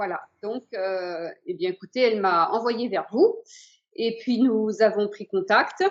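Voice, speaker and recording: A woman speaks very slowly at a fairly high pitch, with ordinary pitch variation and big swings in loudness. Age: 60s. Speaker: patient giving testimonial. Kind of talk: testimony. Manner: hesitant, many fillers.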